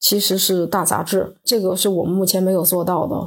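A woman's somewhat breathy voice stays at medium pitch. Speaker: brand founder. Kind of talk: recorded reflection message.

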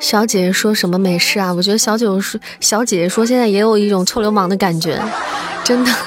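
A woman's playful, animated voice at medium pitch and a fairly quick pace, with noticeable background noise. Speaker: livestream host. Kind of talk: radio dj patter. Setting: live stream with viewers. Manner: playful, teasing, animated.

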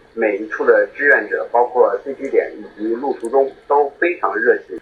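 A man speaks fairly slowly, with noticeable noise in the background. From northern China. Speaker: amateur ultrarunner. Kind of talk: prepared statement read aloud.

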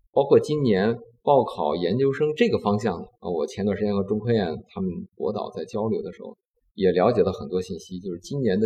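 A man is speaking. He keeps a moderate pace. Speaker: semiconductor company executive. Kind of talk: interview. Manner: calm, gentle.

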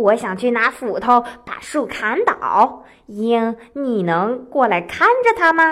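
Putting on a character voice, a woman speaks slowly with a fairly high pitch, a fairly bright tone and lively intonation.

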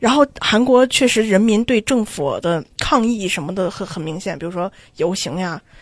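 Amid noticeable background noise, a woman talks with lively intonation. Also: medium pitch for a woman, moderate pace, hardly any pauses. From China, Xi'an. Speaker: graduate student abroad. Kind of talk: casual chat.

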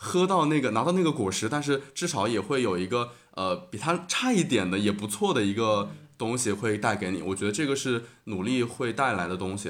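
Lively intonation marks this man's voice. He talks at a fairly quick pace with a medium pitch. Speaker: graduate student and podcaster. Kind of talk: casual chat. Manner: hesitant, many fillers.

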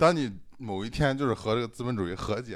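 A man talks at a medium pitch, his intonation lively. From Shandong, China. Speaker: podcast host. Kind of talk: casual chat.

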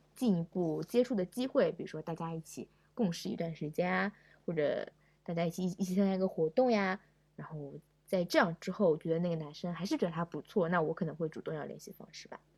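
Talking at a very fast pace, a woman has a fairly low pitch with ordinary variation. Her voice is somewhat breathy and swings widely in loudness. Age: 20s. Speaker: podcast guest. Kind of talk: casual chat.

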